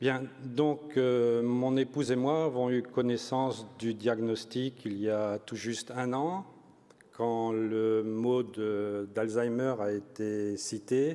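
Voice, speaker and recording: A man speaks at medium pitch with a dark, mellow tone. His pace is very slow and his intonation fairly even. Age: 60s. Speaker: family caregiver of a spouse with Alzheimer's. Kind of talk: testimony at a conference.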